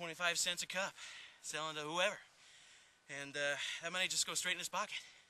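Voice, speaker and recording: In a dry recording with no echo, a man talks very fast in a bright, sharp tone with fairly even intonation. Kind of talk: interview answer, mock-serious comedy. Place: farm machine.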